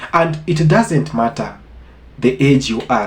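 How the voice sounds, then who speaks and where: A man's normal speaking voice at a fairly slow pace, with ordinary pitch variation. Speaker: reaction commentator. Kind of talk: casual talk to camera.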